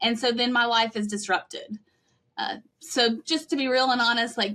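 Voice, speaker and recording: Bright and sharp in tone, a woman's high-pitched voice moves at a moderate pace with ordinary pitch variation. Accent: Western North Carolina. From Western North Carolina (Cullowhee). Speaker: pastor. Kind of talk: podcast interview.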